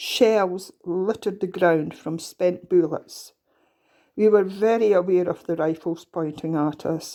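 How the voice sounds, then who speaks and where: A woman talks at a fairly slow pace in a dark, mellow tone, captured in a very clean recording with a silent background. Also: medium pitch for a woman. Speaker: storyteller. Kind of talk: reading aloud.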